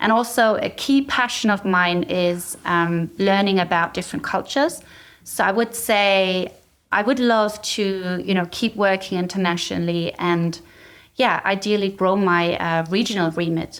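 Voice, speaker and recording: A woman with a German accent speaks at a moderate pace, with ordinary pitch variation and very even loudness. The recording is very clean, with a silent background. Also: medium pitch for a woman. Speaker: cyber threat intelligence executive. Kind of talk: interview.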